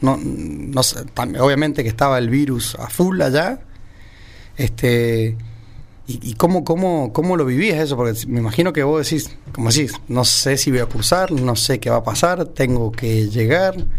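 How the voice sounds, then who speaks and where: A man's medium-pitched voice, fairly slow and lively in intonation, amid noticeable background noise and audible room echo. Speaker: radio host. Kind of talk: casual chat.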